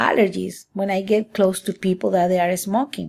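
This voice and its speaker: A woman speaks with a Spanish accent and vocal fry. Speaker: student. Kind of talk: class presentation. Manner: halting.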